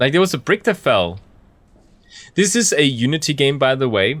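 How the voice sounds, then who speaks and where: A man with a non-native accent is heard on a very clean recording with a silent background. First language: not English. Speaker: gaming YouTuber. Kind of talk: game playthrough commentary. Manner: halting, many fillers.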